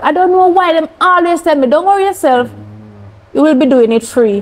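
A woman talks with a Jamaican accent at a moderate pace. Her pitch swings are very wide. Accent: Jamaican English with patois. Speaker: cancer survivor; interview guest. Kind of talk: testimony. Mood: earnest, animated storytelling. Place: studio.

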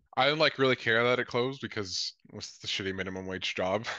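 A man speaks at a very fast pace in a bright, sharp tone, his voice dry with no echo over a quiet background. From born in Colombia, raised mainly in Lethbridge, Alberta; Alberta, Canada. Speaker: socialist activist and former election candidate; podcast guest. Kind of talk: interview. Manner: casual, many filler words. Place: home room. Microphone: video call.

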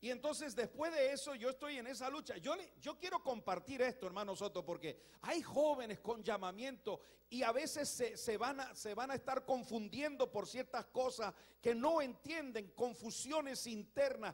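Against a quiet background, a man with an extremely high pitch and ordinary pitch variation talks at a moderate pace. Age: 60s. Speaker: pastor. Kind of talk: sermon. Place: church. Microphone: handheld.

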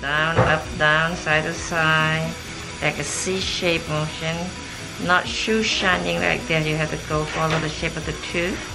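Loud background noise surrounds a woman who talks fairly slowly. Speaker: dental hygienist. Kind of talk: explaining a dental cleaning to patient. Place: office.

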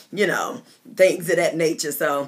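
A woman speaks fairly quickly at a fairly low pitch. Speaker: pastor. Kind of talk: casual live-stream chat before a teaching. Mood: warm, cheerful. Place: home room. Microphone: phone near.

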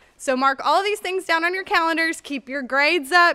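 The voice is raised and projected, with a bright, sharp tone. The background is quiet. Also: woman. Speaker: school staff announcer. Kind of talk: school announcements. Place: hall. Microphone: studio mic.

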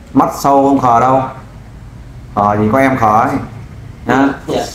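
Amid light background noise and audible room echo, a man speaks at a very slow pace with fairly even intonation. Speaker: volunteer crime-fighting group leader helping find missing wife. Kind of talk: interview, questioning a man about his missing wife. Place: studio.

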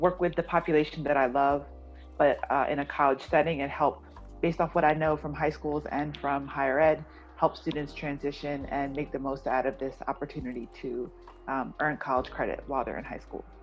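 Faint music plays behind a woman speaking in a very deep, low voice. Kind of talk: interview answer. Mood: warm, positive. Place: home room. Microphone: video call.

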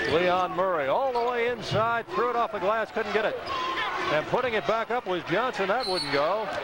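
Loud background noise runs under the voice. The sound is dry, with no echo. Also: moderate pace. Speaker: radio play-by-play announcer. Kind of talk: live sports commentary, play-by-play. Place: stadium. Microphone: headset.

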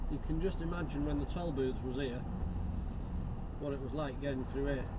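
Loud background noise fills the recording. Through it, a man talks. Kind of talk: casual driving commentary. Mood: mildly annoyed at traffic. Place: car. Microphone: camera far.

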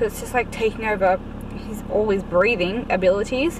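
A woman is heard in a dry sound with no echo. Noticeable background noise runs behind her. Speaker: parent vlogger. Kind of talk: casual vlog chat. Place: car. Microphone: phone near.

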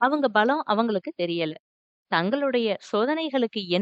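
Lively intonation in a natural reading voice, the background quiet

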